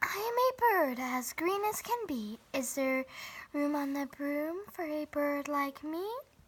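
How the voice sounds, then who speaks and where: In a put-on character voice, a woman talks at a fairly slow pace with a high pitch. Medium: read story.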